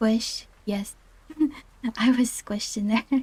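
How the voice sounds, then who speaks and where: Soft-spoken and somewhat breathy, a woman speaks at a fairly high pitch with fairly even intonation. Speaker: VTuber streamer. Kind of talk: casual livestream chat, telling a personal story.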